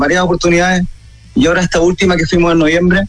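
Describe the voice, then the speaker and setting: With music in the background, a man speaks in a high pitch. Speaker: rock musician. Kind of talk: radio interview.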